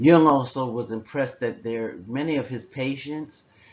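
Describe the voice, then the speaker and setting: In a plain, everyday voice, a man talks at a fairly slow pace with ordinary pitch variation. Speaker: psychology professor. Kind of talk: lecture. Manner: conversational.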